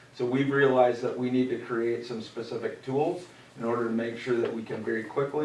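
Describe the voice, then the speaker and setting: Amid noticeable background noise and audible room echo, a man speaks very fast at medium pitch with fairly even intonation. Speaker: school district administrator. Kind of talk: presentation at board meeting.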